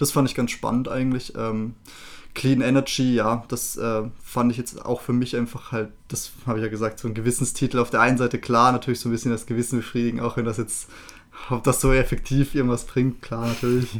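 Speaking at a fairly quick pace, the man keeps a medium pitch and a monotone, flat intonation. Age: 20s. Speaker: finance officer of the podcast team. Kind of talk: casual chat.

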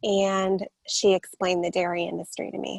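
A woman with an American accent at a moderate pace, in a dry, close sound with no echo. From San Diego, California. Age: 30s. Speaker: vegan advocate and fitness trainer. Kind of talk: interview.

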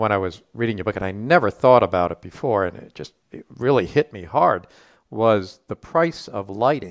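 Using a normal speaking voice, a man talks at a moderate pace with a fairly low pitch, lively intonation and big swings in loudness. The sound is dry and close with no echo against a quiet background. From US Northeast (Rhode Island). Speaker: podcast host. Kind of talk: podcast interview.

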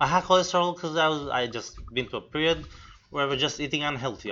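A man speaks at a very fast pace. His pitch sits fairly high. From Romania. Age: 20s. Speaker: personal trainer. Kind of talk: casual chat. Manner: energetic.

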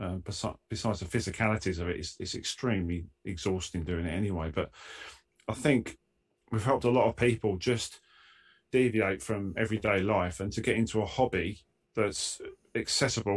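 A man talks at a fairly quick pace in an Essex accent. His voice is somewhat breathy. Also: fairly low pitch for a man, ordinary pitch variation. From Essex, England. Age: 50s. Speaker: car detailing YouTuber and rail welder. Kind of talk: casual chat. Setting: video call from his garage.

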